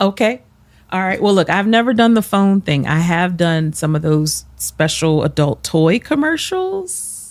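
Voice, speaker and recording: Speaking at a fairly slow pace, a woman with a medium pitch uses lively intonation and very even loudness in a very clean recording with a silent background. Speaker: podcast co-host. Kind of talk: casual chat.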